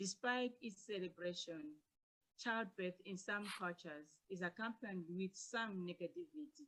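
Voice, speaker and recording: A woman with a bright, sharp tone speaks at a medium pitch and a moderate pace, using ordinary pitch variation. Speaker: academic presenter. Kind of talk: paper presentation. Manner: soft-spoken.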